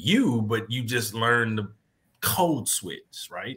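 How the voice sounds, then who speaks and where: A man with an American accent has a normal speaking voice, a medium pitch and ordinary pitch variation. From Kansas, US. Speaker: former pro football player, players' affairs director. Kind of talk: interview. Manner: repetitive false starts.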